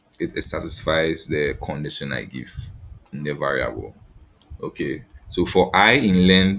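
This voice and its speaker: Amid noticeable background noise, a man with a very deep, low pitch and ordinary pitch variation speaks with long, frequent pauses. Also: moderate pace. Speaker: lab instructor. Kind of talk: tutorial. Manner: halting, many repeated words.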